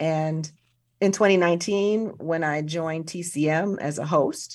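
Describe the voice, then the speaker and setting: This is a plain, everyday voice with an American accent and ordinary pitch variation. The background is quiet. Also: woman. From US Midwest, South Side of Chicago. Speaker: museum director and film professor. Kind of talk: interview.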